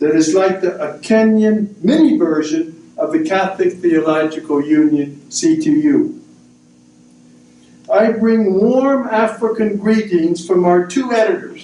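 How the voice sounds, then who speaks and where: A man with an American accent speaks at a fairly slow pace in a high voice, his pitch swinging very widely. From US. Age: 70s. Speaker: missionary priest. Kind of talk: prepared talk at a book discussion. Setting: university event with audience.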